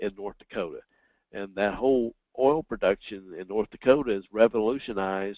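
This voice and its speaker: A man with a Southern US accent talks at a moderate pace, his pitch fairly low with ordinary variation. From US South. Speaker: professor. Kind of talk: webinar Q&A. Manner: halting, many fillers.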